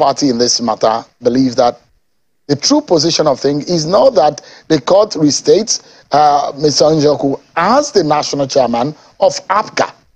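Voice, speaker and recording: A man with a Nigerian accent, fairly high in pitch, with very wide pitch swings and a moderate pace. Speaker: TV news anchor. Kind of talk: political interview show. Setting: TV studio. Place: studio. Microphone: lapel.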